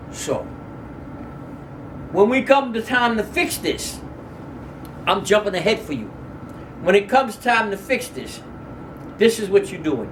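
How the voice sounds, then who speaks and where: Long, frequent pauses break up a man's fairly slow, high-pitched speech with lively intonation. Big swings in loudness, audible room echo and noticeable background noise are present. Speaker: Islamic religious teacher. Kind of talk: lecture.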